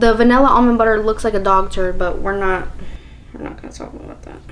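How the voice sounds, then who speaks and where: An animated woman's voice over noticeable background noise. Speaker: lifestyle vlogger. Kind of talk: casual vlog monologue.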